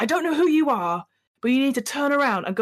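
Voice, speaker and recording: In a put-on character voice, a female-sounding speaker talks raspy and high-pitched at a very fast pace. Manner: distrustful, hostile.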